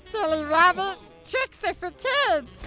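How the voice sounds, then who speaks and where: A put-on character voice with extremely high pitch and a fairly slow pace, clear music in the background. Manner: silly put-on voice.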